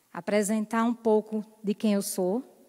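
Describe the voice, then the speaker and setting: In a northeastern Brazilian accent, a woman speaks at a fairly high pitch with a dark, mellow tone. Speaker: lay preacher. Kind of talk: sermon. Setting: church.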